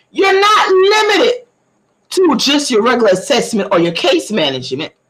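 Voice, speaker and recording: A woman speaks in a Southern US accent at a moderate pace. Her tone is animated, and her pitch swings very widely. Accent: country Southern dialect. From US South, southeast Georgia (Camden County). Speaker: community information livestreamer. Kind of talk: livestream talk giving public information. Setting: multi-platform livestream.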